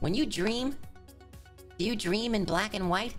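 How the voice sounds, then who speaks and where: Over clear music in the background, a man uses a put-on character voice with a high pitch, an upbeat tone and a moderate pace. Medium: role play. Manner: upbeat, chipper.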